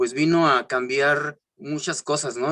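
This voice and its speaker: A man talks very slowly in a southern Mexican accent with a bright, sharp tone. The sound is dry and close, with no echo. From Mexico, Juchitán de Zaragoza, Oaxaca. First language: Isthmus Zapotec (speaking Spanish). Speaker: cultural promoter, panel moderator. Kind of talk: online panel discussion. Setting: virtual session.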